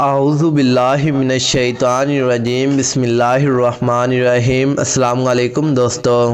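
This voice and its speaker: A man talks at a medium pitch with monotone, flat intonation and very even loudness. Noticeable background noise is present. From Pakistan. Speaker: voice over artist. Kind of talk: religious story narration.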